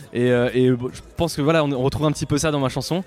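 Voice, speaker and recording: A man with a fairly high pitch talks at a fairly quick pace and fairly even intonation while music plays behind him. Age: 30s. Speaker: singer-songwriter and dentist. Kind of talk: interview.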